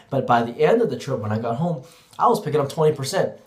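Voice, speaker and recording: There's audible room echo around this man's voice. He speaks at a fairly high pitch and sounds somewhat breathy. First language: Cantonese. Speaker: teacher. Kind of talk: vlog monologue.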